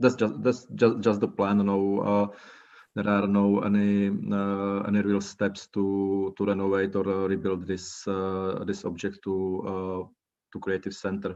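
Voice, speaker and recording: Against a quiet background, someone speaks at a fairly slow pace with a Czech accent. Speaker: cultural organizer. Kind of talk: online presentation. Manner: halting, many fillers.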